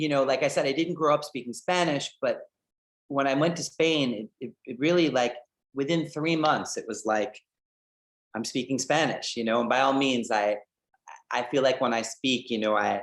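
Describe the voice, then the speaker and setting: Using an American accent, a man speaks at a moderate pace with a fairly high pitch, ordinary pitch variation and long, frequent pauses. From New York, Scarsdale. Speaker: photographer. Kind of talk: video call Q&A talk with students. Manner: hesitant, many fillers and repetitions; enthusiastic.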